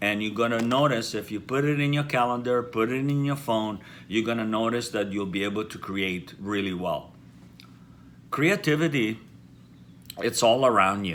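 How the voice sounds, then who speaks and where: At a moderate pace, a man with an Italian accent speaks at a medium pitch with ordinary pitch variation, leaving long, frequent pauses. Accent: Italian, noticeable. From Italy. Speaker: hairdresser and haircare company founder. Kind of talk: casual chat to camera.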